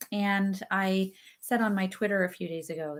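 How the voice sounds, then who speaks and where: Music plays in the background. The speaking pace is very slow. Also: woman. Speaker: children's book author. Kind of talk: casual talk to camera, live stream.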